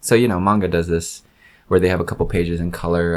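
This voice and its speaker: A man's voice, very deep and low in pitch. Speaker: comics reviewer. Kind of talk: casual video review. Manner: slurred speech; hesitant, many fillers.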